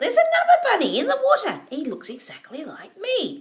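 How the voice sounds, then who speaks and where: This is a squeaky, put-on character voice. It moves at a fairly quick pace. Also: woman, extremely high pitch for a woman. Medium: read story.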